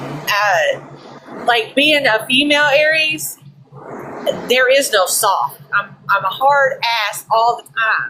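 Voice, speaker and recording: Loud and high-pitched, a woman speaks very slowly with lively intonation and long, frequent pauses, over noticeable background noise. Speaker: guest on podcast. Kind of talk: casual chat. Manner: blunt.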